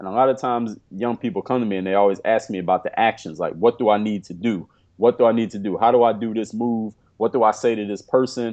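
At a very fast pace, a man in an American accent speaks with a medium pitch and fairly even intonation. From Philadelphia, US. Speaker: pro basketball player and motivational speaker. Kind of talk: interview.

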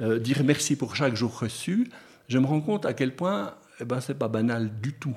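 On a very clean recording with a silent background, the words arrive fairly slowly. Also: man. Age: 60s. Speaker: retired pastor. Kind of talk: radio interview. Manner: halting.

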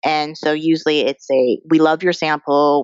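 Speaking with an American accent, this woman's voice sits fairly low. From US, Colorado (small town, Chinese American family). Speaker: TV writer. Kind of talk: interview.

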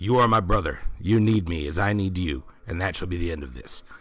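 This man uses a put-on character voice with a very deep, low pitch. He moves at a fairly quick pace. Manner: proud, earnest.

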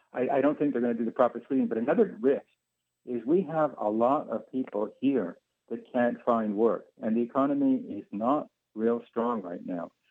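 In a Canadian accent, a man with a medium pitch talks in a normal speaking voice with ordinary pitch variation. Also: moderate pace. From Canada, Ottawa. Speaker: caller. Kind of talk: call-in opinion. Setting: phone call.

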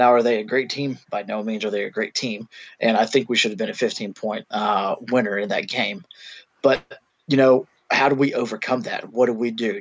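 An ordinary speaking voice from a man, medium in pitch with fairly even intonation. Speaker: podcast co-host. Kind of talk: casual chat.

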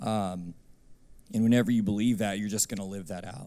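A man's fairly low, dark and mellow voice at a fairly quick pace, with fairly even intonation. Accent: Texan. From Texas, Abilene. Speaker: worship minister. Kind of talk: testimony.

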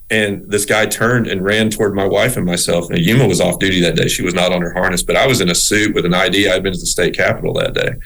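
Against noticeable background noise, a man with a Southern US accent and fairly low pitch talks at a very fast pace with hardly any pauses, very even loudness and fairly even intonation. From US South (Little Rock, Arkansas and South Texas). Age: 50s. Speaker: rehabilitation counselor. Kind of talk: casual interview. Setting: remote call.

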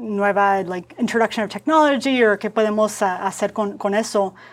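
A woman's voice sits at a medium pitch, with fairly even intonation. The pace is moderate. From US Southwest (Phoenix, Arizona), Mexican-American family. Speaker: product designer. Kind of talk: casual interview chat, code-switching Spanish and English. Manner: halting Spanish with many fillers and repetitions.

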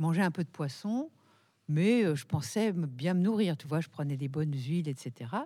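On a very clean recording with a silent background, a woman speaks with a very deep, low pitch and a dark, mellow tone. Her pace is fairly slow, her intonation lively. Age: 60s. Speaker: nutritionist, naturopath, author. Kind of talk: radio talk show.

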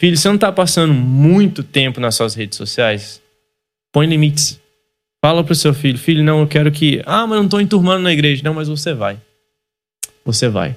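A man with a fairly high pitch and lively intonation talks at a fairly quick pace, leaving long, frequent pauses, while music plays in the background. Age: 30s. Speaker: church youth pastor and podcast host. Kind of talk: casual chat.

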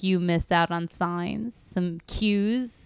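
This is a woman speaking. Her pitch is fairly low. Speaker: podcast host. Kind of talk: casual chat. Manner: giggly, laughs easily.

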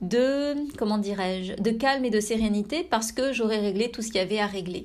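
Her fairly high-pitched voice moves at a fairly quick pace with ordinary pitch variation as the woman speaks. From France. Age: 30s. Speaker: meditation teacher and podcast host. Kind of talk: personal reflection monologue. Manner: intimate, soft-spoken; hesitant, with frequent fillers.

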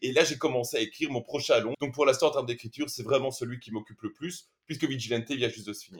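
A man's somewhat breathy voice at a medium pitch. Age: 40s. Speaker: film director and screenwriter. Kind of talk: interview.

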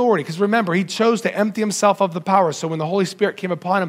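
The pitch shifts in an ordinary way. The reading voice sounds natural.

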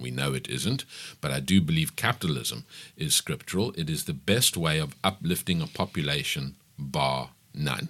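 This man's voice is very deep and low, with vocal fry. He talks at a moderate pace with lively intonation. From South Africa, KwaZulu-Natal (Pietermaritzburg). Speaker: business owner. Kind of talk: radio interview. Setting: radio studio.

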